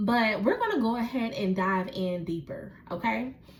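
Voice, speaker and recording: A woman talks at a fairly slow pace with lively intonation in an ordinary speaking voice. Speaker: tarot reader. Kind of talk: tarot reading. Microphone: echo, mic unplugged.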